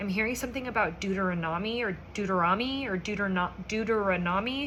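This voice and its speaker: A very fast woman's voice of medium pitch and ordinary pitch variation, with noticeable background noise and audible room echo. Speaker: psychic medium. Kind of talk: channeled message monologue. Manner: halting, stumbling over words; casual, conversational.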